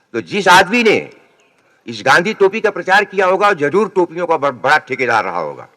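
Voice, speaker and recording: This man's voice sits high in pitch, with a bright, sharp tone and lively intonation. The sound is dry and close, with no echo. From Uttar Pradesh, Sultanpur. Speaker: poet. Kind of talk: public speech.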